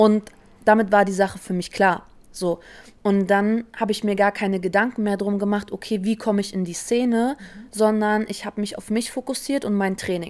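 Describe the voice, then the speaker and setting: On a very clean recording with a silent background, a woman of medium pitch talks at a moderate pace with monotone, flat intonation. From Berlin, Germany. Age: 20s. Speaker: professional dancer and choreographer. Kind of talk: casual interview.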